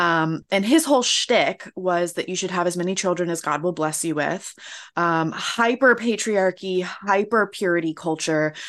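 A woman with an American accent talks at a moderate pace in a plain, everyday voice. Her pitch variation is ordinary, and the background is quiet. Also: fairly low pitch for a woman. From US South, Florida. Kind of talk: interview conversation.

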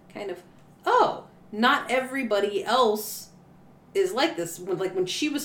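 Noticeable background noise runs behind a woman whose intonation is lively. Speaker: podcast co-host. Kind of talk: casual chat.

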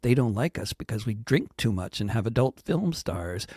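In a very clean recording with a silent background, a man speaks at a moderate pace with lively intonation. His voice is somewhat breathy, with a dark, mellow tone at medium pitch. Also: dry, close sound with no echo. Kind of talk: performed satirical poem, rhymed verse read aloud. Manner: rhetorical questions delivered with building irony, ending in a pointed sting.

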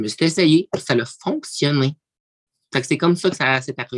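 The sound is dry and close with no echo. A woman speaks at a very deep, low pitch with ordinary pitch variation. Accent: Quebec. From Quebec, Abitibi-Témiscamingue. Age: 20s. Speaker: reality TV personality. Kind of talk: casual interview.

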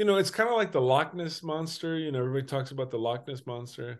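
A man speaks at a fairly quick pace with a fairly high pitch. His pitch swings very widely against a quiet background. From Mexico (Durango). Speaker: actor. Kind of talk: interview.

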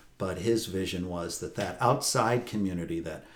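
With an American accent, a man with a very deep, low pitch and a somewhat breathy sound talks at a moderate pace with ordinary pitch variation. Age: 60s. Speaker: priest. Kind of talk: interview conversation. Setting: on location at a retreat house.

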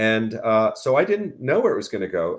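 A man talks at a very fast pace in a fairly low pitch. His pitch varies in an ordinary way. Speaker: cannabis business media executive. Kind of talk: podcast interview.

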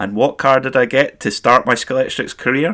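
A man speaks with a Scottish accent. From Scotland, Perth area. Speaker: motorsport podcast host. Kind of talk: solo podcast commentary.

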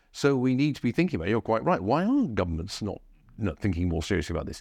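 A man with an English accent, very fast delivery and very wide pitch swings against a quiet background. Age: 60s. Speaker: historian and think tank fellow. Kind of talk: book talk at a live event.

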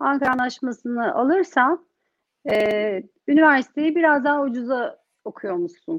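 A high-pitched woman with lively intonation at a fairly slow pace. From Turkey (Bursa). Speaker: entrepreneur, community group founder. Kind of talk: interview. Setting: online livestream.

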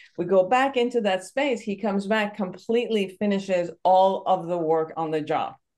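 With a Persian accent, a woman talks with hardly any pauses and ordinary pitch variation. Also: medium pitch for a woman, moderate pace. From Iran. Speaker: psychotherapist and podcast host. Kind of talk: interview.

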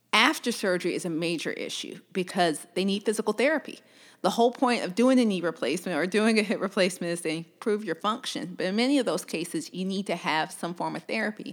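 Over a silent background in a very clean recording, a woman with a Southern US accent talks very fast at medium pitch with lively intonation. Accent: Southern US (Georgia). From US South, Georgia (Columbus). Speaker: orthopedic surgeon. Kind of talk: interview.

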